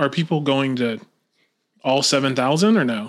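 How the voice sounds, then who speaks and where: With an American accent, a man in an unremarkable speaking voice talks at a fairly quick pace and fairly high pitch, in a very clean recording with a silent background. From Lakeland, Florida. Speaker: podcast host. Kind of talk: casual chat.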